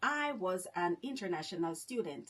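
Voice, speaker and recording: A woman with a Jamaican accent, moderate pace, and very wide pitch swings. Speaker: vlogger. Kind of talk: casual monologue vlog.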